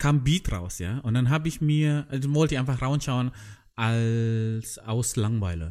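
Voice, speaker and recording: Speaking at a fairly slow pace with a non-native accent, a man with a medium-pitched, dark, mellow tone uses ordinary pitch variation on a very clean recording with a silent background. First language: not German (speaking German). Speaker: podcast host. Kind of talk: casual chat. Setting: in a tent.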